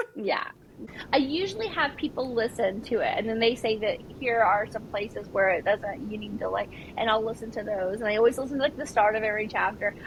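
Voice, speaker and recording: Woman with an American accent at a fairly quick pace, noticeable background noise behind her. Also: fairly high pitch for a woman, ordinary pitch variation. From US Midwest, rural Indiana. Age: 40s. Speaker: romance author. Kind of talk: casual interview chat.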